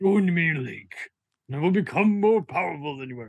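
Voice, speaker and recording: A put-on character voice at a middle pitch and moderate pace. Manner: cheesy, melodramatic.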